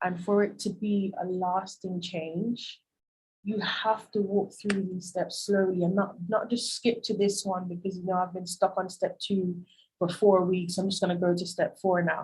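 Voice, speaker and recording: At a moderate pace, a woman with a medium-pitched, somewhat breathy voice speaks in a monotone, flat way. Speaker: life coach. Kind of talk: presentation and Q&A. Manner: calm, measured.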